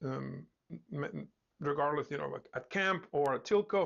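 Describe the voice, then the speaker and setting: A man with a non-native accent, fairly high in pitch, at a fairly slow pace with ordinary pitch variation. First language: not English. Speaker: instructor and founder of a coding school. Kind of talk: live-streamed talk. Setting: Facebook live stream. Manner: hesitant, many fillers and repetitions.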